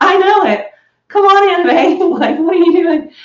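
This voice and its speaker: A woman's voice carries audible room echo. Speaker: beauty and hair vlogger. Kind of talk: casual get-ready-with-me vlog chat. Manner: animated.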